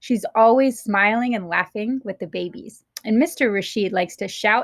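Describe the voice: Someone does plain reading aloud with ordinary pitch variation against a quiet background.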